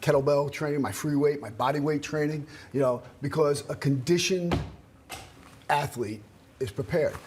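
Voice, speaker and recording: A man's fairly high-pitched voice at a moderate pace, an unremarkable speaking voice with ordinary pitch variation. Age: 60s. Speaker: martial arts strength coach. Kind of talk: TV interview.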